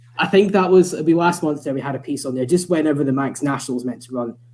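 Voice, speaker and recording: Someone talks very fast with a Scottish accent. The intonation stays fairly even. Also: man. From Scotland, Scottish Borders. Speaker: motorsport journalist. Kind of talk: casual chat. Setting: live online show.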